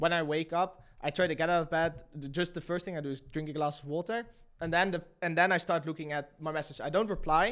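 A man's high voice at a very fast pace. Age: 20s. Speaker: YouTube channel entrepreneur. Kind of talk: casual interview chat.

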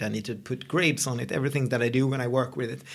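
With a Swedish accent, a man speaks at a very fast pace. Vocal fry marks his voice. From Sweden. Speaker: podcast co-host. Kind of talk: casual chat. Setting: meeting room used as studio.

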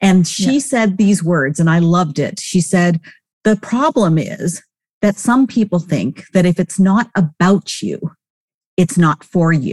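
A woman speaks at a fairly slow pace with medium pitch, lively intonation and very even loudness, somewhat breathy, the sound dry and close with no echo. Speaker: podcast co-host. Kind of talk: interview conversation.

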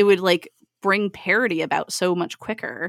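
A woman with a fairly low pitch and ordinary pitch variation uses an ordinary speaking voice, recorded dry and close with no echo against a silent background on a very clean recording. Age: 30s. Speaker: podcast host. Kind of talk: casual chat.

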